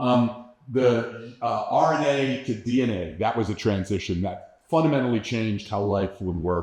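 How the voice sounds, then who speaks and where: A man at medium pitch, moderate pace and ordinary pitch variation, with audible room echo. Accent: New York. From New York metropolitan area. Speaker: astrobiologist, keynote speaker. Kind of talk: lecture.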